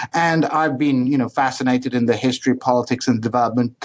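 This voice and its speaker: Speaking at a very fast pace with a British accent, a man uses a medium pitch and fairly even intonation. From United Kingdom, Welsh mother and Iraqi Kurdish father. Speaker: history professor. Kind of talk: interview. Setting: podcast. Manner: halting, many fillers and repetitions.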